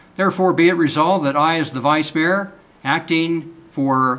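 The man's intonation stays fairly even. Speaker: vice mayor. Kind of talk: formal proclamation reading. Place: meeting room.

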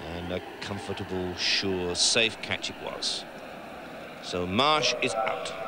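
Noticeable background noise surrounds a man's very deep, low voice. He speaks very slowly but with lively intonation. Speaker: cricket commentator. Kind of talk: live commentary. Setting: commentary box at the ground. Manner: animated.

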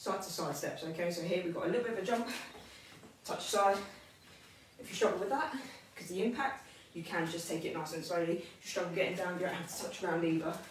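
Amid audible room echo and light background noise, a woman talks at a very fast pace with a fairly low pitch and ordinary pitch variation. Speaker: personal trainer. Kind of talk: tutorial. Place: empty room. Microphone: camera far.

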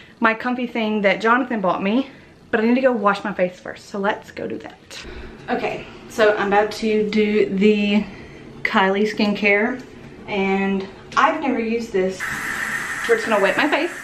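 A woman speaks with fairly even intonation and long, frequent pauses, with light background noise and audible room echo. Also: moderate pace. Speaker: vlogger. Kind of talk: casual vlog chat.

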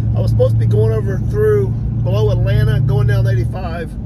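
Loud background noise sits behind a man whose voice has a dry sound with no echo. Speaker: trailer builder vlogger. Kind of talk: casual vlog chat. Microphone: phone near.

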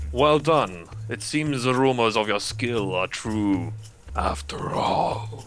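In a put-on character voice, a man talks fairly slowly at a medium pitch over clear background noise. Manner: formal, approving.

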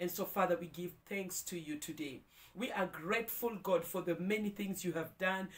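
This woman's voice sits at a medium pitch. Her pitch varies in an ordinary way. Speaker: prayer leader. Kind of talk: devotional prayer; fervent prayer. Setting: video, morning devotion. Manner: fervent, heartfelt, praising; warm, uplifting. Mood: fervent, thankful. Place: home room.

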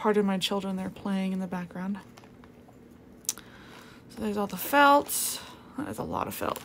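A woman talks with light background noise in the recording. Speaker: craft tutorial maker. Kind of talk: tutorial. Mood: cheerful, relaxed. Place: home room.

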